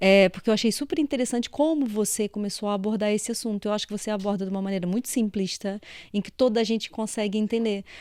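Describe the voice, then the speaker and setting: A woman talks very fast at a fairly high pitch. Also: ordinary pitch variation. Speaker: podcast host, engineer. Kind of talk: interview podcast. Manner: animated.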